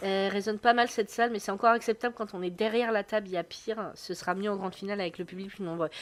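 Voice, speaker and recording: A woman at a very fast pace with hardly any pauses, medium in pitch, her intonation fairly even, on a very clean recording with a silent background. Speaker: sports streamer commentator. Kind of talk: live commentary. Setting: live stream. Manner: casual, hesitant with many fillers.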